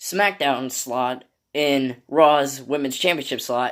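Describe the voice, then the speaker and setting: Fairly slow delivery in a very clean recording with a silent background. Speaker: wrestling YouTuber. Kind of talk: casual commentary vlog. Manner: stumbling over words.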